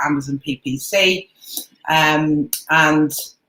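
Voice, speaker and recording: A woman with a British accent speaks at a very deep, low pitch. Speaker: Amazon seller and coach. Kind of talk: webinar presentation.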